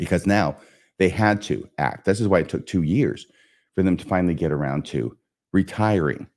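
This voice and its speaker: A man speaks with a very deep, low pitch and vocal fry. His intonation is lively, and the recording is very clean with a silent background. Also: moderate pace. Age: 60s. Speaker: podcast host. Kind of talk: solo podcast lesson.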